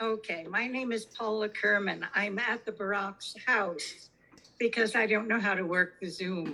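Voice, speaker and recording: A woman speaks fairly slowly at a fairly high pitch with fairly even intonation. Background noise is noticeable. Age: 80s+. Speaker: resident speaking at public hearing. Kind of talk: public comment at zoning hearing. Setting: video call.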